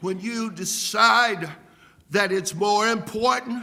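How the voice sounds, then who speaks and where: In a room with audible echo, a man with a high pitch and a bright, sharp tone projects his raised voice at a very slow pace. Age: 70s. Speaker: pastor. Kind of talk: sermon. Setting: church. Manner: animated.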